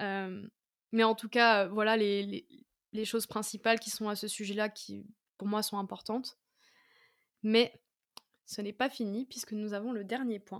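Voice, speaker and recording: The delivery is fairly slow, with long, frequent pauses, a monotone, flat intonation and big swings in loudness. The recording is very clean, with a silent background. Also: woman, fairly high pitch for a woman. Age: 20s. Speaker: podcast host. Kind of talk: solo podcast monologue. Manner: casual, with many hesitations.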